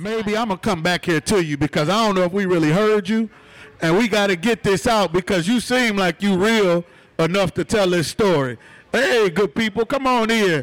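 The tone here is animated, with ordinary pitch variation. The pace is moderate. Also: man. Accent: American. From Detroit. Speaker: podcast host and event emcee. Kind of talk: live event hosting to an audience. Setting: live bar venue with audience. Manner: animated, hype, crowd-engaging.

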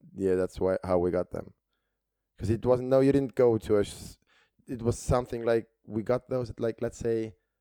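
A man with an Estonian accent, medium in pitch, dark and mellow in tone, in a dry, close sound with no echo. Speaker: stand-up comedian. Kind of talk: casual chat. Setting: studio. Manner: halting.

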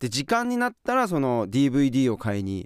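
Very wide pitch swings mark this man's speech. The recording is very clean and dry, with a close sound, a silent background and no echo. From Hokkaido, Furano. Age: 40s. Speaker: professional skier. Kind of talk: casual chat. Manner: animated.

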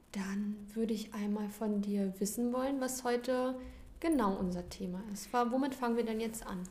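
With audible room echo, a woman speaks at a moderate pace in a fairly high pitch and fairly even intonation. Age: 20s. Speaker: nursery teacher. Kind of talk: casual chat.

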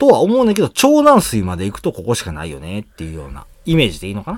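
A man speaks with a Kansai accent. His pace is very fast. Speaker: podcast host. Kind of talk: casual chat.

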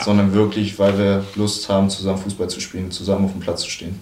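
Over noticeable background noise and audible room echo, a man with a fairly low pitch speaks at a moderate pace in a monotone, flat intonation. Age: 20s. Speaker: football goalkeeper. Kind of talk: casual chat.

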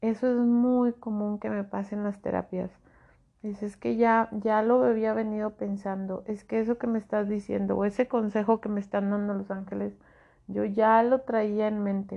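This woman's intonation is monotone and flat. She speaks at a medium pitch and a moderate pace. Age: 40s. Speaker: spiritual podcast host, angel therapist. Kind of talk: solo spiritual talk.

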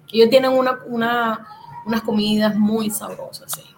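A woman talks at a fairly high pitch with ordinary pitch variation. Background noise is noticeable. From Venezuela, Puerto Cabello, Carabobo. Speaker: small food business owner, cook. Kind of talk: casual interview.

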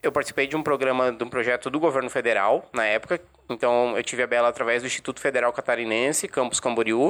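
Delivering his words at a very fast pace, a man keeps his intonation fairly even. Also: medium pitch for a man. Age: 20s. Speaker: guide dog user, journalism student. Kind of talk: podcast interview.

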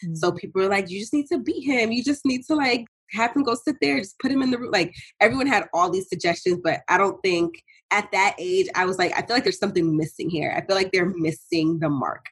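A woman with an American accent speaks very fast at a medium pitch, somewhat breathy. Her pitch swings very widely. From New York City (Bronx). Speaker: clinical psychologist. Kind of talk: interview.

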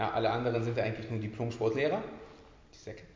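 Audible room echo mixes with noticeable background noise throughout the recording. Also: man. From Berlin, Germany. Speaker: personal trainer and gym owner. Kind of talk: casual chat.

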